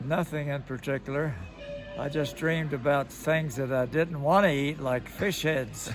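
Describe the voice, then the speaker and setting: A man with an American accent, a fairly high pitch and fairly even intonation, with music in the background. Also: moderate pace. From Kentucky, USA. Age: 80s+. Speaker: World War II veteran, former B-17 gunner. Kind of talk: interview answer.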